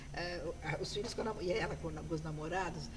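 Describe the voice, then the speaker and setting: Noticeable background noise and audible room echo fill the recording. Through it, a woman speaks at a moderate pace. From Brazil. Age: 60s. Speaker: graphologist. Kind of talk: interview.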